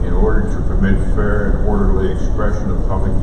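Speech moves at a moderate pace. Loud background noise and audible room echo are present. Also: man. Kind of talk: formal meeting statement. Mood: firm, procedural. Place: hall. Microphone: camera far.

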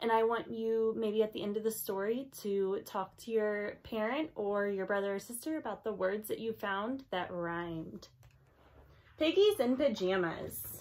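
The pace is fairly slow. Pitch varies in an ordinary way. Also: woman. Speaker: teacher. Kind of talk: read-aloud storytime for children. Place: home room. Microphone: phone near.

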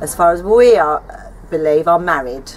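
The speech moves at a fairly slow pace over light background noise. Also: woman. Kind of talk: casual to-camera statement. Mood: earnest, light laughter. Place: garden.

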